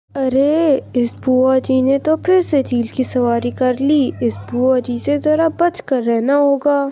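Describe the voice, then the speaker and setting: A cartoonish character voice that sounds female comes through at a high pitch and a moderate pace. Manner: gossipy, cautious.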